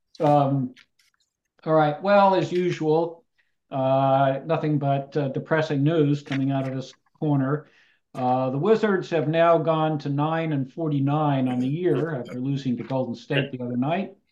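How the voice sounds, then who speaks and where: An ordinary speaking voice from a man, fairly high in pitch, with fairly even intonation. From US West Coast, Palo Alto. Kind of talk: casual chat. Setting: video call.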